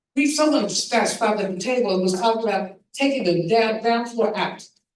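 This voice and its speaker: Audible room echo surrounds a woman with a fairly high pitch. She speaks at a moderate pace with ordinary pitch variation. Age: 70s. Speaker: panelist, writer. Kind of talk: town hall panel discussion. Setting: church stage with audience.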